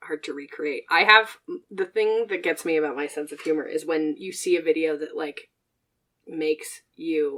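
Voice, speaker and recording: A woman speaks loudly at a moderate pace in a very deep, low pitch, with a bright, sharp tone and fairly even intonation. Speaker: podcast co-host. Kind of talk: casual chat.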